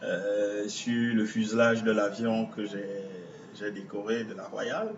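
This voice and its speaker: Noticeable background noise runs beneath this recording. A man speaks at a very slow pace in a medium pitch. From Cameroon, Douala. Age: 40s. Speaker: visual artist. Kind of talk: interview. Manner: halting.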